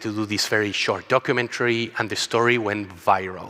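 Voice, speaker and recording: A man with a Chilean accent speaks at a moderate pace in a bright, sharp tone. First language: Spanish. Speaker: travel company co-founder. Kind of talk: conference talk.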